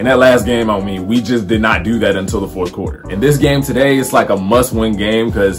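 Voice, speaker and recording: With clear music behind him, a man talks very fast with ordinary pitch variation. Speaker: sports fan vlogger. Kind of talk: casual vlog chat. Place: home room. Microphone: phone near.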